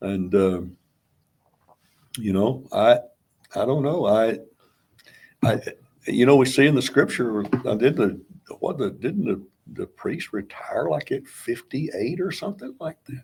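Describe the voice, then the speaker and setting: A man at a medium pitch speaks at a fairly slow pace, his loudness swinging widely, his pitch rising and falling very widely, and long pauses coming often. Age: 70s. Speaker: pastor. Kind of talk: interview conversation. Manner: halting, many restarts.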